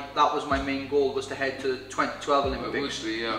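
A man talks at a fairly quick pace in a room with audible echo. Clear music plays in the background. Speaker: interviewee. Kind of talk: interview answer. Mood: relaxed, conversational. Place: bar.

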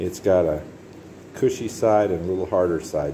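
There is light background noise as a man talks at a moderate pace. His pitch varies in an ordinary way. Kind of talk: tutorial. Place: garage. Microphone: phone near.

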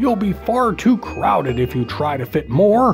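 Music plays in the background as a man speaks at a fairly slow pace. His pitch swings very widely. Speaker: voice actor and parent narrator of children's books. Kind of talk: children's picture book reading.

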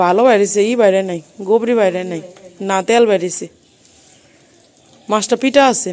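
A woman speaks with ordinary pitch variation. Her pace is moderate. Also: medium pitch for a woman, slightly mellow tone.

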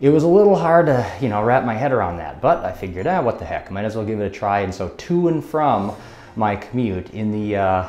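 At a fairly quick pace, a man speaks with very wide pitch swings and audible room echo. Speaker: college professor. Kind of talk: casual talk to camera.

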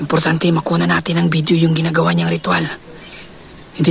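Noticeable background noise sits behind a man with a fairly high pitch. He speaks in an excited tone at a very fast pace. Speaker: paranormal vlogger. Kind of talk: whispered live narration while secretly filming. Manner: hushed, breathless, tense whisper, fearful and excited; animated, gasping 'oh my God' reactions.

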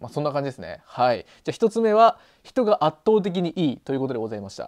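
A man is talking. The background stays quiet. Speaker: video blogger living in the countryside. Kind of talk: casual vlog chat. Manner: casual, chatty, with many fillers. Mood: friendly, upbeat. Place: home room. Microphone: lapel.

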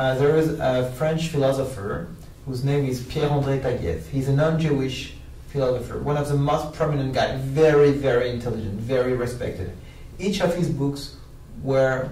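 At a moderate pace, a man talks with ordinary pitch variation in a room with audible echo. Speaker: interview guest, media analyst. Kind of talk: interview answer. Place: studio.

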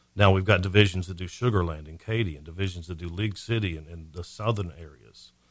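A man with an American accent and a very deep, low voice races along at a very fast pace with hardly any pauses, fairly even intonation and big swings in loudness, on a very clean recording with a silent background. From Montgomery County, Texas. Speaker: senior care business owner. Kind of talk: radio interview. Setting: radio studio.

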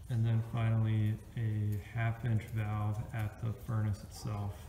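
A man is speaking. There is light background noise and audible room echo. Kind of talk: tutorial. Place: garage. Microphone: phone near.

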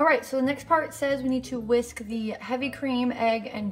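Faint music plays in the background. A woman talks with ordinary pitch variation. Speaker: home baker vlogger. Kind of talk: casual vlog chat. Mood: cheerful, chatty. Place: kitchen. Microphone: phone near.

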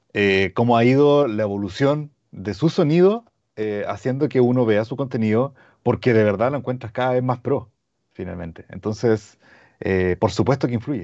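A man with a Chilean accent talks at a moderate pace with ordinary pitch variation against a quiet background. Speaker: audio brand representative. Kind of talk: product webinar. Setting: video call. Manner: halting. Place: home room. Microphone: lapel.

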